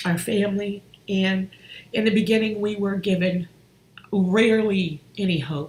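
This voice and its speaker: Speech at a very slow pace comes through noticeable background noise. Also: woman. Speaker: relationship coach and healer. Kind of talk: personal testimony on a live stream. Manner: halting.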